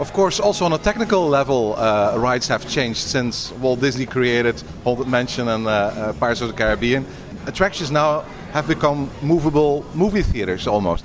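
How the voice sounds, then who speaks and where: Amid noticeable background noise, a man with a Dutch accent speaks fairly quickly at medium pitch with lively intonation. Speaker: podcast interviewer. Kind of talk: casual interview.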